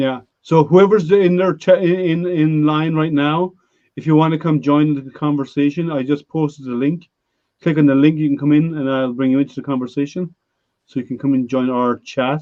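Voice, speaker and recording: In a plain, everyday voice, the speaker moves at a moderate pace with fairly even intonation. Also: man, fairly high pitch for a man. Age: 50s. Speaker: live stream host. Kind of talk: casual chat. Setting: live stream hangout.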